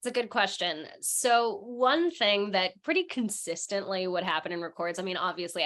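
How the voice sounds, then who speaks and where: An ordinary speaking voice: a woman at a medium pitch and moderate pace, with lively intonation and hardly any pauses. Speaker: voice actor. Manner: conversational, casual.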